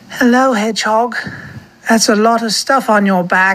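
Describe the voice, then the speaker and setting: A woman's put-on character voice, croaky and fairly high-pitched, at a moderate pace. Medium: read story.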